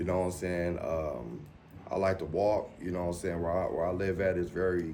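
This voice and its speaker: A man's very deep, low voice has a dark, mellow tone and fairly even intonation, with audible room echo. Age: 40s. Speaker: dialysis patient. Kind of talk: documentary interview. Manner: halting, repetitive.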